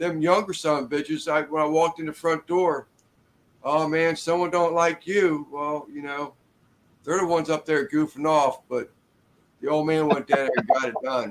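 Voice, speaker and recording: A man with an ordinary speaking voice, fairly high in pitch, at a moderate pace and with fairly even intonation. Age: 60s. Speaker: construction worker. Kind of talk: casual chat.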